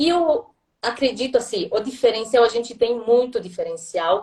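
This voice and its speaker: A woman speaks with lively intonation. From southern Italy, Puglia. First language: Italian (speaking Portuguese). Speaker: language school director. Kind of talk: live interview. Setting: online live stream.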